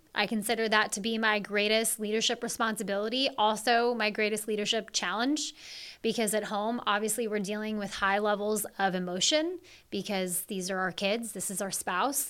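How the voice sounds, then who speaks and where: A woman speaks in an American accent with a fairly high pitch, at a moderate pace and with fairly even intonation. Hers is an unremarkable speaking voice, on a very clean recording with a silent background. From Seattle area, Washington. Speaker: chief operating officer. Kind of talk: interview conversation.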